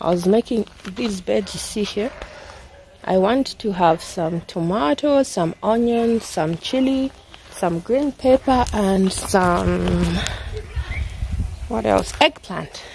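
A woman speaks at a very slow pace with long, frequent pauses. Light background noise is present. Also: dry sound with no echo. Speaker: mother vlogger. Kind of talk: casual vlog chat. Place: garden. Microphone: phone near.

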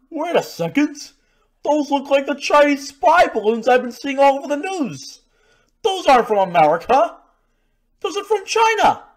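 A high-pitched, cartoonish character voice moves at a moderate pace, broken by long, frequent pauses. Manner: sarcastic, exasperated.

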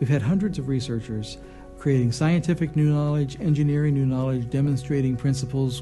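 A man at a fairly quick pace, with clear music in the background. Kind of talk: interview answer. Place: studio.

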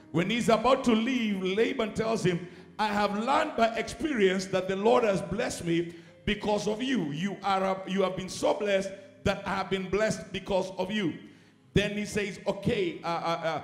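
A man's high-pitched voice at a moderate pace, with ordinary pitch variation and audible room echo. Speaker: preacher. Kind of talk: sermon. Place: church. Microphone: handheld.

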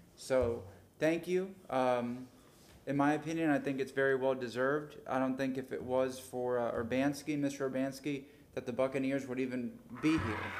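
A man with an American accent and an unremarkable speaking voice talks at a moderate pace in a medium pitch, his intonation fairly even. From Florida. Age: 30s. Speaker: city council member. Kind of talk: public meeting remarks. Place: hall. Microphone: podium.

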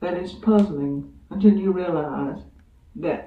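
Fairly slow speech with audible room echo. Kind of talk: literary reading. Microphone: old recording.

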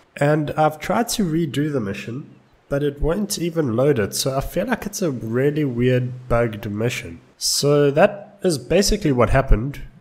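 The speaker talks at a moderate pace with hardly any pauses. The voice is somewhat breathy, with lively intonation. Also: man, fairly high pitch for a man. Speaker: gaming YouTuber. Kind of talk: let's play commentary.

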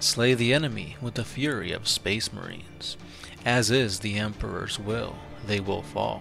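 Against clear music in the background, a man uses a put-on, robotic and raspy character voice with a fairly low pitch at a moderate pace. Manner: intoning solemnly.

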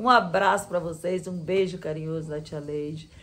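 A somewhat breathy voice comes through over light background noise. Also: woman. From Espírito Santo, Brazil, near the Minas Gerais border. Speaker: schoolteacher. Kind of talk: casual family chat. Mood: cheerful, warm. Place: home room. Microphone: phone near.

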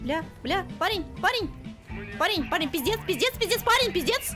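Over clear music in the background, a woman in a raised, projected, extremely high voice swings her pitch very widely at a moderate pace with long, frequent pauses. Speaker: streamer. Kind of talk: casual game stream talk. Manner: emotional, loud, prone to shouting and laughing. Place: home room.

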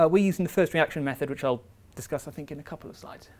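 Speaking at a very fast pace, a man uses a fairly high pitch with ordinary pitch variation.

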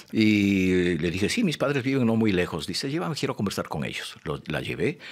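At a moderate pace, a man talks with lively intonation. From Ecuador, Quito; Ecuador. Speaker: poet. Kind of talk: interview. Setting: studio. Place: studio. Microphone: studio mic.

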